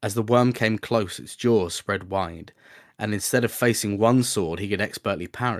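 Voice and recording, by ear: Someone reads aloud in a natural voice. Fairly even intonation holds throughout.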